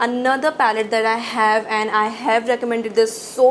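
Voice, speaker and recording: A woman's fairly high voice races along at a very fast pace. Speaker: beauty youtuber. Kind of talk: product review. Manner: animated.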